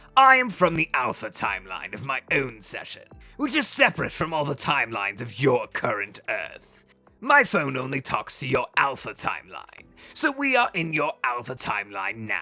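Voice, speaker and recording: A woman's put-on character voice, pitched very deep and low, with faint music in the background. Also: moderate pace. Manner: rude, haughty, irritable.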